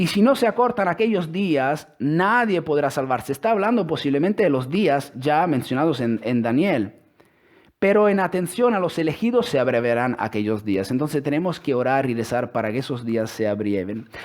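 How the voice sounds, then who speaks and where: The man's pitch swings very widely while he keeps a moderate pace. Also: fairly high pitch for a man. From Italy. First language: Italian (speaking Spanish). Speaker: religious speaker. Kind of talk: religious talk with scripture reading. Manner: halting.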